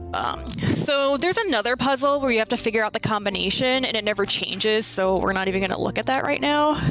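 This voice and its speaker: With music in the background, a woman with an American accent talks at a very fast pace with hardly any pauses, her fairly high voice showing lively intonation and very even loudness. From New York. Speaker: speedrunner. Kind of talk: live speedrun commentary. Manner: casual, with frequent fillers.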